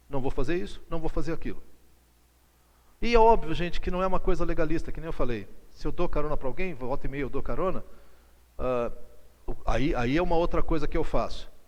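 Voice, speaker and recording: A man speaks at a very fast pace in an animated tone, with audible room echo. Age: 60s. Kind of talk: lecture. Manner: conversational, animated.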